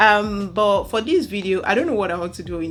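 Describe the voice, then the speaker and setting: A woman with a Nigerian accent speaks with ordinary pitch variation. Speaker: university lecturer and vlogger. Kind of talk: casual storytelling vlog. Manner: halting, with many fillers.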